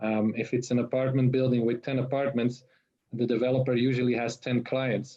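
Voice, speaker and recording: A man with a non-native accent at a fairly quick pace. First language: not English. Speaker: tokenization consultant. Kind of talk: webinar panel discussion. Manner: halting, many fillers and repetitions.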